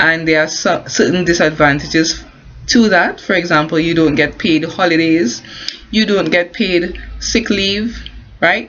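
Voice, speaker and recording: Against noticeable background noise, the speech comes at a fairly slow pace with very even loudness and ordinary pitch variation. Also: woman, fairly low pitch for a woman. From Caribbean. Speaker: construction worker and home business promoter. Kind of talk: casual talk to camera. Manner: hesitant, many fillers and restarts.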